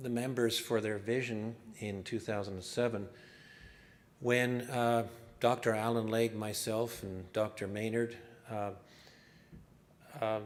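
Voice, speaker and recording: A man's very slow speech at a medium pitch, fairly even in intonation, with long, frequent pauses and audible room echo. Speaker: environmental scientist. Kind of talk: conference presentation.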